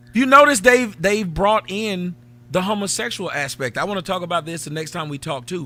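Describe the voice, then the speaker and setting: An American man speaks fairly quickly in a raised, projected voice with a high pitch. His tone is bright and sharp, with lively intonation and big swings in loudness. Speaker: livestream talk show host. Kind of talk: casual chat.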